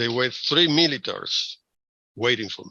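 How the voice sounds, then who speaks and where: A man with a Spanish accent talks at a moderate pace and medium pitch, his tone bright and sharp with ordinary pitch variation, in a dry, close recording with no echo and a quiet background. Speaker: professor. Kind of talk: interview.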